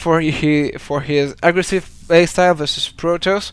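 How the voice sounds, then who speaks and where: Speaking at a fairly slow pace, a man with a high voice and a French accent keeps his intonation fairly even. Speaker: esports caster. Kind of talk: live game commentary. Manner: halting.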